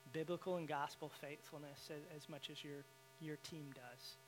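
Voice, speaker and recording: Fairly even intonation with a Southern US accent. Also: man. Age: 30s. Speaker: guest speaker. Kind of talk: sermon. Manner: halting.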